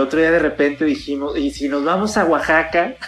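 With an unremarkable speaking voice, a man talks at a moderate pace with a fairly high pitch and ordinary pitch variation. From Mexico, Guadalajara (Jalisco). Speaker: artist. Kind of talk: casual chat. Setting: remote call.

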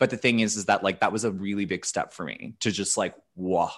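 A man talks at a fairly quick pace with fairly even intonation against a quiet background. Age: 30s. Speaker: comedian. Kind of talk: casual chat.

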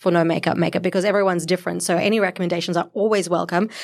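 The recording is very clean, with a silent background. A woman speaks with fairly even intonation. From South Africa. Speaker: beauty editor, podcast co-host. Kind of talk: casual chat. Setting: studio.

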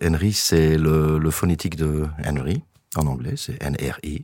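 The man's voice sits at a very deep, low pitch. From Belgium, Verviers. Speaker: singer-songwriter. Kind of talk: interview. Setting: studio. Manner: halting.

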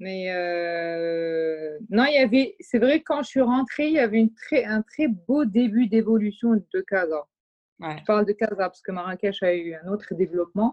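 This woman has a plain, everyday voice at medium pitch and speaks at a fairly slow pace with lively intonation. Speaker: artistic director and fashion brand founder. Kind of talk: casual chat. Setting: remote recording.

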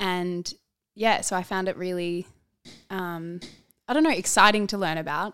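A woman with an Australian accent speaks at a moderate pace in a medium pitch with ordinary pitch variation, leaving long, frequent pauses, on a very clean recording with a silent background. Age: 30s. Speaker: speech pathologist and model. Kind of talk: casual interview chat.

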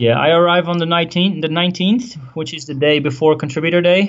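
A man with a Dutch accent at a moderate pace. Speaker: WordPress business owner. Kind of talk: interview.

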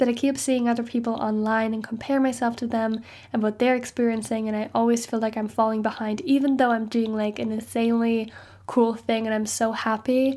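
The intonation is monotone and flat. A woman speaks with a fairly high pitch. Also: fairly quick pace. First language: not English. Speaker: university student podcaster. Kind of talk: casual solo podcast monologue.

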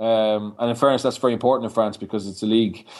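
A man talks with a Dublin accent. His pitch sits fairly low. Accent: Irish (Dublin). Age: young. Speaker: rugby coach. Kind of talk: interview.

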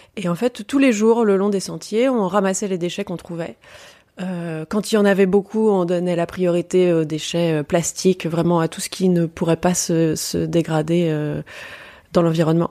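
A woman speaks at a moderate pace in a fairly low pitch, with a dark, mellow tone, ordinary pitch variation, and a dry, close sound with no echo. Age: 30s. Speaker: travel writer and adventurer. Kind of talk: interview.

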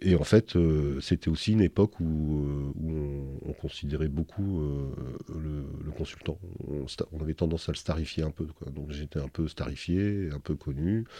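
This man's voice is very deep and low, with a dark, mellow tone. He speaks fairly slowly with ordinary pitch variation. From northern France, near Dunkirk (French Flanders). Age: 60s. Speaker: wine consultant and winegrower. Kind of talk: interview. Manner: halting, many repetitions and hesitations.

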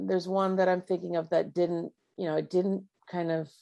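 A woman speaks with a Canadian accent. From Ontario, Canada (Markham). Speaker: singer-songwriter. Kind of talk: interview. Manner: halting.

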